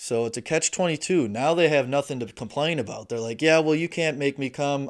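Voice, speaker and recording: In an Upper Midwest accent, a man talks at a medium pitch. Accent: Upper Midwest American. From Wisconsin, US Midwest. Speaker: podcast host and aspiring stand-up comedian. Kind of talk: casual solo monologue. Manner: crude, joking.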